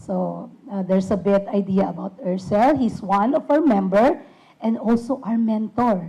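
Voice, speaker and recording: A woman speaks with a dark, mellow tone. Her pace is fairly slow and her intonation lively. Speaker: puppet ministry worker. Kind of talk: ministry presentation to an audience. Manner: halting.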